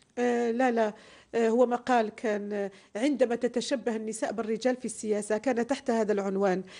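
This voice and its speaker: Against a quiet background, a woman with a dark, mellow tone speaks at a fairly high pitch with ordinary pitch variation. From Algeria. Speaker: political scientist and party activist; interview guest. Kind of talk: interview. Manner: formal. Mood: calm, thoughtful, smiling. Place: studio. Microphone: lapel.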